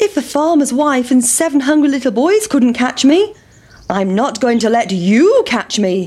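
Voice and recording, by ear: Using a put-on character voice, a woman speaks high and slightly mellow at a fairly slow pace, with big pitch swings.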